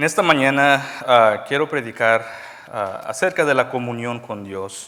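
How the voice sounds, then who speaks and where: Pitched in the medium range, this man's voice shows ordinary pitch variation. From Mexico, raised in the US (Texas). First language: English dominant now (Spanish first) (speaking Spanish). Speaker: preacher. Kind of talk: sermon. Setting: church. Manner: halting, with fillers.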